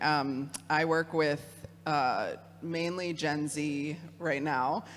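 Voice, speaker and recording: The voice belongs to a woman and sits very deep and low. Her intonation is fairly even. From Michigan. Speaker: theologian, youth program director. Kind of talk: talk with audience discussion.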